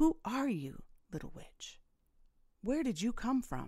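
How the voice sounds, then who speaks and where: Using a put-on character voice, a woman growls at a high pitch and a fairly slow pace, her loudness swinging widely. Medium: read story. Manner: menacing, commanding.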